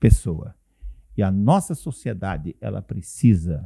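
A man's very deep, low voice with a dark, mellow tone, dry and close with no echo. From Paraná, Brazil. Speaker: pastor and radio broadcaster. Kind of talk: casual interview. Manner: halting.

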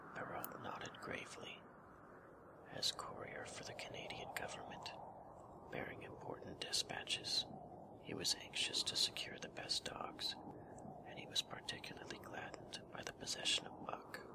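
Whispering at a moderate pace in a calm tone, with long, frequent pauses and noticeable background noise. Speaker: audiobook / ASMR narrator. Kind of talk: soft-spoken ASMR bedtime story reading. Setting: reading over ambient wind sound effect. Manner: soft-spoken, calm, relaxing.

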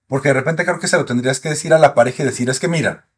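Over a quiet background, a man speaks at a fairly high pitch. His voice is somewhat breathy. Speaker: sexologist doctor; guest. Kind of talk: casual interview, expert explanations. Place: studio. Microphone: studio mic.

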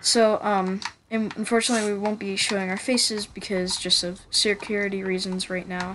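Against noticeable background noise, a woman with an American accent speaks at a fairly quick pace and a medium pitch, her intonation monotone and flat. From Pennsylvania, USA. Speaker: gaming YouTuber. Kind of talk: casual channel trailer talk.

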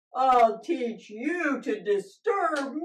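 A woman puts on a character voice. The voice is growling. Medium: puppet show. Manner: grumpy, growling, menacing.

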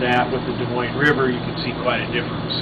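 A man's voice under loud background noise. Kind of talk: interview answer.

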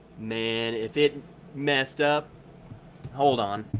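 A man speaks at a very slow pace with fairly even intonation. His voice sits at a medium pitch and has a fairly bright tone.

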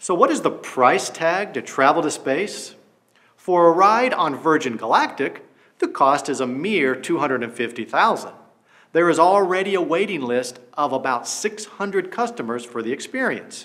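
Very wide pitch swings in a man's fairly high voice. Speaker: documentary narrator, English teacher. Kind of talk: nature/science documentary narration, scripted educational voiceover. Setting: studio. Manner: measured, clear, formal, steady pacing with an informative tone.

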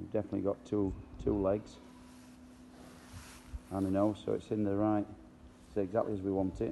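At a moderate pace, a man talks with a dark, mellow tone, fairly low pitch and vocal fry.

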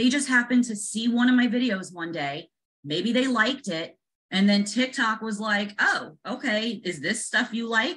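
At a moderate pace, a woman with fairly high pitch speaks in an animated tone with lively intonation. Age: 40s. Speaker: real estate agent and social media creator; social media creator. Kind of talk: casual video chat interview. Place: home room. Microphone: video call.

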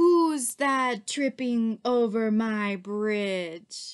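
A woman bellows in a put-on character voice. Her pace is very slow. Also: fairly high pitch for a woman. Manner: roaring, angry.

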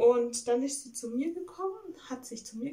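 The tone is dark and mellow. The pace is moderate. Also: woman. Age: 20s. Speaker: video blogger. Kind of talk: casual vlog monologue. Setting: at home. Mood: reflective, calm. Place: home room. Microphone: phone near.

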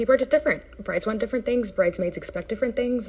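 The woman's speech races along very fast. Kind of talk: casual vlog chat. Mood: earnest, explanatory. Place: home room. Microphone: phone near.

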